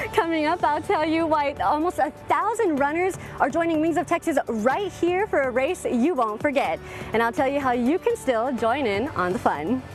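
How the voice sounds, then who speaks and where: With music in the background, a woman speaks at a moderate pace in a high voice, her pitch swinging very widely while her loudness stays very even. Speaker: news anchor. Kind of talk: TV news read.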